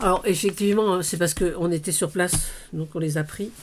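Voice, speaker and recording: This is a woman's voice. Her pitch is medium. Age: 60s. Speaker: crafting vlogger. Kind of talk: casual haul video. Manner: hesitant, many fillers.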